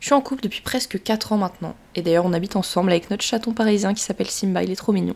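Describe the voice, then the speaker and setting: This woman's voice sits at a medium pitch with ordinary pitch variation. She speaks at a very fast pace. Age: 20s. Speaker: podcast host, social media influencer and student. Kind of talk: solo podcast monologue, partly scripted. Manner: warm, informal.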